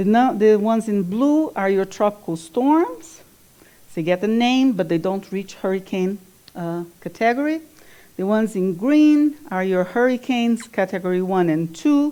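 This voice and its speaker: A woman speaks in a Brazilian Portuguese accent with a dark, mellow tone at medium pitch. Her pace is moderate and her intonation lively. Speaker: climate scientist. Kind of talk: lecture. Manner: halting, with fillers.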